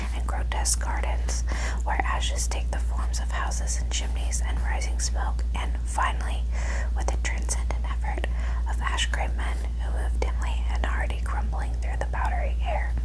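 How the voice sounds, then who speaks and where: A whisper at moderate speed amid noticeable background noise. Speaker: ASMR creator. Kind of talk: sleep story reading. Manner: whispered.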